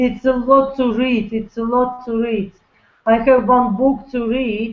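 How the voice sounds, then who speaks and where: A woman speaks with a non-native accent at a high pitch. Her pace is fairly slow and her intonation monotone and flat. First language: not English. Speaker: network marketer. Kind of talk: webinar interview. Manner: talkative; halting.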